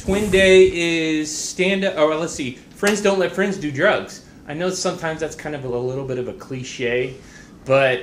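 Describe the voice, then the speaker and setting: A man speaks at a fairly slow pace in a fairly high pitched voice with lively intonation, and the room echo is audible. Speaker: school staff member giving announcements. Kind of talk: school announcements. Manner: loud; halting.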